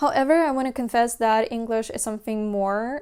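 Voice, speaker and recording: On a very clean recording with a silent background, a woman with a non-native accent speaks in a fairly high pitch. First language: Russian. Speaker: language learning vlogger. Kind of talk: casual talk to camera.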